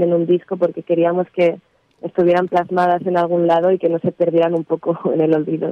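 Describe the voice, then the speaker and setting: Here a woman talks at a fairly quick pace. Her pitch sits in the medium range. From Barcelona, Spain. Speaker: musician. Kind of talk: interview. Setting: phone call.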